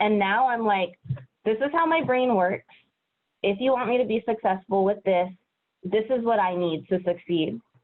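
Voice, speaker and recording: A woman's speech moves along at a moderate speed, its pitch rising and falling in an ordinary way. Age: 30s. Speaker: educator, interview guest. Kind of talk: interview. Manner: casual, lots of fillers.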